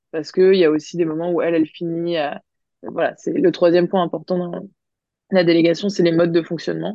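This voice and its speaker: A woman talks at a fairly quick pace in a fairly low pitch, her intonation monotone and flat. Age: 30s. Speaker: business coach and entrepreneur. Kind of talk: interview.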